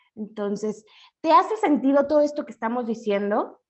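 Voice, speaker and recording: A woman speaks at a moderate pace. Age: 30s. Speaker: financial educator. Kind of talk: webinar lecture.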